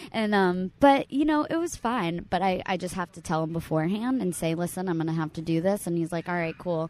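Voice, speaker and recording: A plain, everyday voice at a fairly quick pace, with hardly any pauses. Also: woman, fairly low pitch for a woman, lively intonation. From South Florida, Fort Lauderdale area. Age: 20s. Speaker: actress and stand-up comedian. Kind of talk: casual chat.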